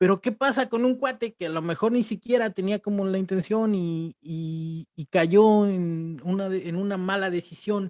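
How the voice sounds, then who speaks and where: A man talks at a high pitch with ordinary pitch variation, at a fairly slow pace with hardly any pauses. The sound is dry and close, with no echo. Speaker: podcast co-host. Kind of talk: casual chat. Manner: halting.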